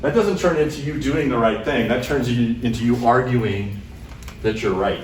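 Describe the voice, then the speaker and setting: Speaking at a fairly quick pace, a man with a medium-pitched voice and lively intonation comes through audible room echo and noticeable background noise. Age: 50s. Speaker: computer science professor. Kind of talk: lecture. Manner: fast; loud.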